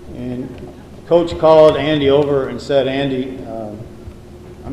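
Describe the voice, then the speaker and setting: Audible room echo and noticeable background noise around a man's medium-pitched voice. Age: 60s. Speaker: high school coach. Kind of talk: banquet speech.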